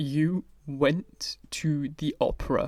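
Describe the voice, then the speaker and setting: A strained, put-on character voice sits at a middle pitch. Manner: slow, strained, pained.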